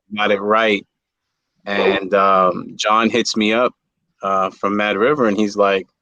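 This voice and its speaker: A man's fairly low, monotone voice with a New York accent, bright and sharp in tone, at a fairly slow pace with long, frequent pauses, very even in loudness, and a dry, close sound with no echo. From New York City (Bronx). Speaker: reptile breeder. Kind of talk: casual chat. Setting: livestream. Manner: halting.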